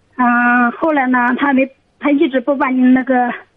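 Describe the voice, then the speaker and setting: In a high pitch, a woman speaks with monotone, flat intonation at a moderate pace. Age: 30s. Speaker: caller seeking advice. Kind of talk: advice call-in. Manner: halting.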